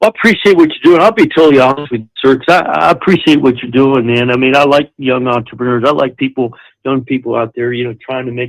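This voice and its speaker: Pitched in the middle range, this man's voice shows ordinary pitch variation. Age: 60s. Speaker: property seller on a phone call. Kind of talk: phone conversation. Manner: halting.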